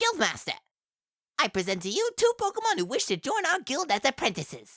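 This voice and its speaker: A put-on character voice, high in pitch, with very wide pitch swings and a fairly quick pace. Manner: bossy, fast, fussy.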